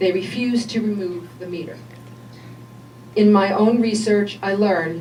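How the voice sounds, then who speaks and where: A woman with a medium-pitched voice speaks at a moderate pace with ordinary pitch variation. Noticeable background noise and audible room echo fill the recording. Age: 60s. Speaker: health coach speaking at public meeting. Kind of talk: public comment at legislature meeting. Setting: public meeting. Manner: formal.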